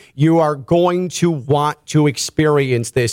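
The voice has an animated tone and ordinary pitch variation. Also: man. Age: 30s. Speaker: sports radio host. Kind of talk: sponsored radio interview. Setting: radio studio.

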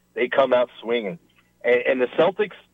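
A man's plain, everyday voice with an American accent, moderate pace and ordinary pitch variation. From El Paso, Texas. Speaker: TV news anchor. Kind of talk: casual sports chat. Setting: phone call.

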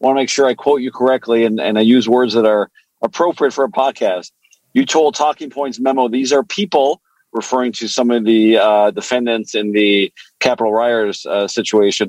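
Dry, close sound with no echo, a man at a medium pitch and fairly quick pace, with ordinary pitch variation. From Canada. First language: French. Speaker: lawyer, podcast co-host. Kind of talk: casual chat.

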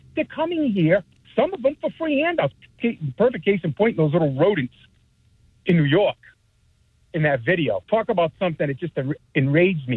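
Pitched high, a man talks at a fairly quick pace with very wide pitch swings, broken by long, frequent pauses. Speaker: caller. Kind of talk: call-in talk radio. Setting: phone call.

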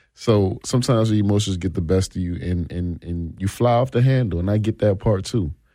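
A man speaks at a fairly quick pace with hardly any pauses, in a fairly low pitch and a dark, mellow tone. The recording is very clean, with a silent background. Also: ordinary pitch variation. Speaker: former football player and state trooper. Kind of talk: casual sports talk. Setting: radio studio.

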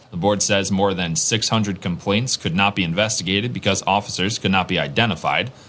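Speaking at a fairly quick pace, a man has a fairly low pitch with ordinary variation and very even loudness. Noticeable background noise runs under the recording. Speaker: radio newsreader. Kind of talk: brisk scripted forecast read-out of temperatures, rain chances and times. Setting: radio studio. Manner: clipped, even-paced announcer delivery; crisp, formal broadcast diction.

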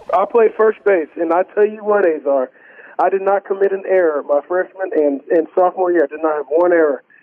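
A man's high voice with an American accent, ordinary pitch variation and a fairly quick pace over noticeable background noise. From Texas, Houston area. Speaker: singer-songwriter. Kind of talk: casual chat. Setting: studio. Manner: animated.

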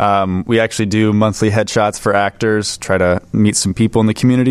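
A man with an American accent speaks in a plain, everyday voice, fairly low in pitch and fairly even in intonation, with a dry, close sound and no echo. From California. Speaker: film producer. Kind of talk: casual interview.

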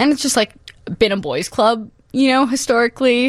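A woman speaks with a Chicago accent. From Chicago, Humboldt Park. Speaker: multidisciplinary artist. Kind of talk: radio interview.

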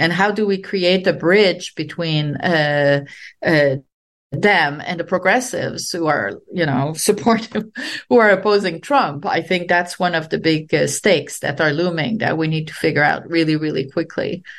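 A woman with a Quebec accent and fairly low pitch, ordinary pitch variation, a moderate pace, and a quiet background. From Quebec, Canada. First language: French. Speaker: sociology professor. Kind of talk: interview.

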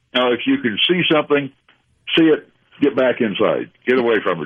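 A man speaks with a Southern US accent. He keeps a moderate pace. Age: 80s+. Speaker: amateur radio operator. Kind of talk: radio interview.

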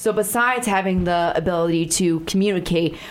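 A woman with a fairly low pitch and an American accent, a plain, everyday voice with fairly even intonation. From Chicago. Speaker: radio talk show host. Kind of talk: radio interview. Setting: studio.

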